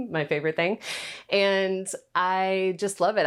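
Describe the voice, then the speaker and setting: On a very clean recording with a silent background, a woman with an American accent talks at a fairly slow pace. She has a normal speaking voice at a medium pitch. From US South. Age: 30s. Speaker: content creator. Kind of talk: casual home tour talk. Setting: at home. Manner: casual, chatty.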